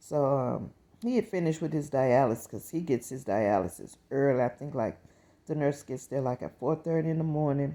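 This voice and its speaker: Her very deep, low pitch and dark, mellow tone come with ordinary pitch variation as the woman speaks. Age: 60s. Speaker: vlogger. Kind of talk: casual vlog monologue.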